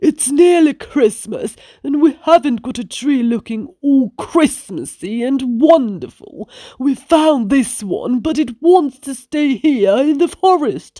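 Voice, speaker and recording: A put-on character voice, pitched high and delivered at a fairly slow pace. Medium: read story.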